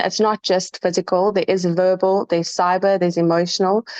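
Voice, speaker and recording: Over a quiet background, a woman's shaky voice comes through with a dry, close sound and no echo. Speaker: student. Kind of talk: class presentation.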